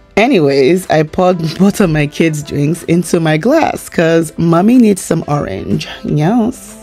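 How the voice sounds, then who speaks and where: A woman at a fairly slow pace, fairly low in pitch, with faint music in the background. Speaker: food vlogger. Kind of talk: casual vlog chat. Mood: delighted, playful. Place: cafe. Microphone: phone near.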